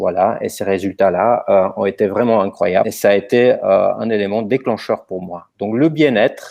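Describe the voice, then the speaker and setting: The speaker has a slight non-native accent and keeps a moderate pace. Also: man. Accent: slight foreign. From Romania, then Germany from age 14. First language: Romanian (speaking French). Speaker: company co-founder, presenter. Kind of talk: webinar presentation. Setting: online webinar.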